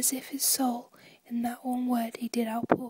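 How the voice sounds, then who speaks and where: Soft-spoken and whispering, a woman speaks with a British accent. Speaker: ASMR performer. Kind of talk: poetry reading. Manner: whispered, soft-spoken.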